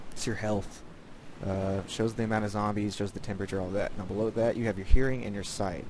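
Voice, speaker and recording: Quiet and fairly quick, a man talks at a fairly low pitch. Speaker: gaming video creator. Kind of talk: gameplay tutorial. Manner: casual, filler-heavy.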